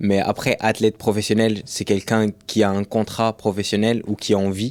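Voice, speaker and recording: On a very clean recording with a silent background, a man speaks at a moderate pace and a fairly low pitch in a monotone, flat intonation, the sound dry and close with no echo. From France, Rouen. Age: 20s. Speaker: professional runner and content creator. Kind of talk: casual podcast interview.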